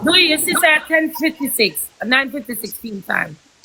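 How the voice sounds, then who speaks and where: A woman speaks over noticeable background noise. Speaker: MC and online personality. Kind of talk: casual chat. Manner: animated.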